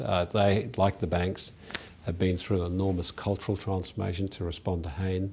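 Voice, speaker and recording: Here a man talks in a very deep, low pitch. His voice comes across somewhat breathy. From South Africa. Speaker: company director. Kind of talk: interview. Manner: halting with frequent fillers.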